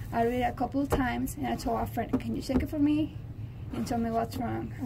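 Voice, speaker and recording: A woman's very fast speech amid noticeable background noise and audible room echo. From Mexico. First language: Spanish. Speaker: college student. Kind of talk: interview.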